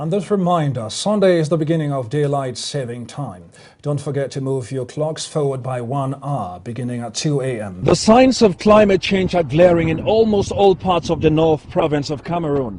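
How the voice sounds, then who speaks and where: With a dark, mellow tone, a man speaks at a fairly high pitch in a somewhat breathy voice, keeping a moderate pace with hardly any pauses and lively intonation. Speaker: news anchor and reporter. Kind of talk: field news reporting on climate change.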